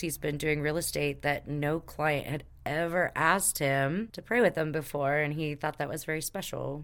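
A woman with an American accent speaks at a moderate pace in a very deep, low pitch with fairly even intonation. The recording is very clean, with a silent background. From Texas. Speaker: podcast host, spiritual healer. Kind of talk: casual chat.

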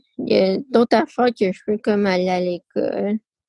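A dry, close sound with no echo and a dark, mellow tone. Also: woman. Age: 20s. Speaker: person with spina bifida. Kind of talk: testimony. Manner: halting; shy.

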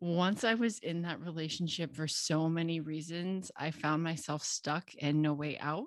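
A woman with a Midwestern American accent, fairly low pitch, fairly even intonation and hardly any pauses. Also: moderate pace. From US Midwest, Cincinnati, Ohio. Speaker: confidence and sales coach, podcast host. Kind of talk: solo podcast monologue.

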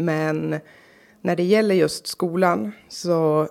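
On a very clean recording with a silent background, a woman speaks with a very deep, low pitch, a dark, mellow tone and ordinary pitch variation. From Norrbotten, northern Sweden (Karlsborg near Kalix). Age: 30s. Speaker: local politician. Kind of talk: interview.

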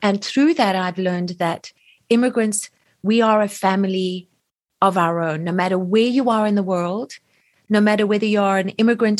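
A woman's normal speaking voice at a medium pitch, a moderate pace and ordinary pitch variation. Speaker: podcast host. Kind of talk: casual interview chat.

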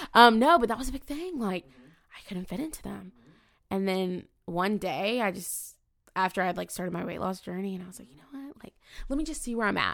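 In a plain, everyday voice, a woman of medium pitch speaks at a fairly quick pace with lively intonation and big swings in loudness. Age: 20s. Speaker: student affairs professional. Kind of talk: casual interview chat.

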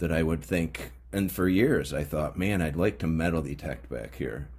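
Vocal fry and lively intonation in a man's very deep, low-pitched voice. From upstate New York. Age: 50s. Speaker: podcast host, metal detecting hobbyist. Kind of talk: casual monologue. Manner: halting, frequent fillers.

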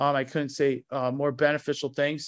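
Against a quiet background, a man with an American accent and a fairly high pitch speaks at a moderate pace. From New Jersey. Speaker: martial arts school owner. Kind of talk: interview. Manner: halting, many fillers and repetitions.

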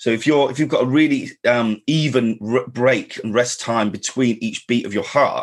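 A man speaks at a medium pitch with ordinary pitch variation. His voice has a slightly husky edge.

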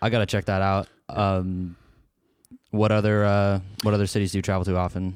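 Speaking with an American accent, a man with a fairly low pitch talks at a fairly quick pace in a monotone, flat intonation, with long, frequent pauses on a very clean recording with a silent background. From Portland area, Oregon. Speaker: podcast host. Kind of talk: casual interview.

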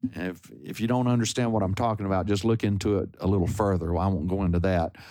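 This man talks at a fairly quick pace with a Texan accent and lively intonation. The recording is very clean, with a silent background. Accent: Texan American. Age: 70s. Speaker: singer-songwriter and guitarist. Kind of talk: interview. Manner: halting.

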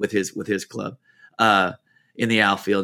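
On a very clean recording with a silent background, a man's bright, sharp tone sounds dry and close with no echo. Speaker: baseball coach. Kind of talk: casual monologue. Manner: fast; halting.

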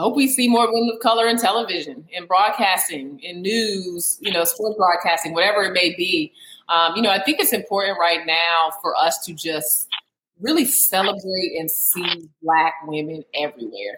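A woman with an American accent uses a normal speaking voice at medium pitch. She talks at a moderate pace with lively intonation. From US, Alexandria, Virginia. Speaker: women's basketball analyst. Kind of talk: casual interview chat.

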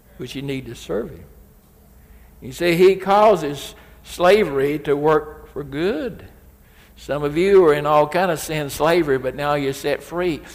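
The speaker talks at a fairly slow pace with ordinary pitch variation. They have a Southern US accent. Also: man, fairly high pitch for a man. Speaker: preacher. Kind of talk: sermon. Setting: church. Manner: emphatic.

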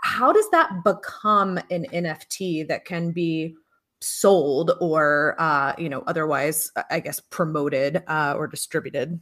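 In a very clean recording with a silent background, a woman with an unremarkable speaking voice talks at a fairly slow pace, her fairly low pitch showing ordinary variation. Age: 30s. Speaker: podcast host. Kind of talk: interview.

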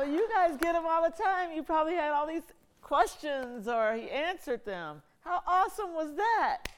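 Her voice sits at an extremely high pitch. The woman's intonation is lively. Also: moderate pace. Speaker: event host and interviewer. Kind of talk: moderating Q&A.

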